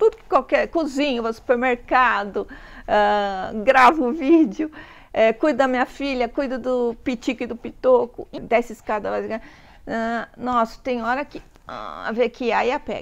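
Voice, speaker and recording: The woman's voice sits high, with ordinary pitch variation. She speaks at a fairly slow pace over a quiet background. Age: 60s. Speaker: pet vlogger. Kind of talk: casual vlog talk.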